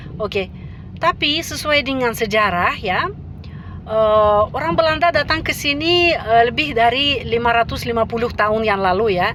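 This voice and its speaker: Woman with a Russian accent, fairly high pitch, lively intonation and very even loudness, at a moderate pace over noticeable background noise. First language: Russian (speaking Indonesian). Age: 50s. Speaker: language teacher. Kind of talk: casual vlog talk. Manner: halting with many fillers.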